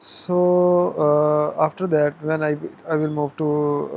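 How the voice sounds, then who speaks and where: A man talks at a very slow pace. Noticeable background noise runs under his voice. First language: not English. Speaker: tutorial youtuber. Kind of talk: tutorial. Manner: halting, many fillers.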